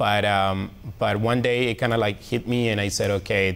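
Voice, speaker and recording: His voice sits fairly low, with monotone, flat intonation. The man has a strong Colombian accent. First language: Spanish. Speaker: reporter. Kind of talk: testimony. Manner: halting, many fillers.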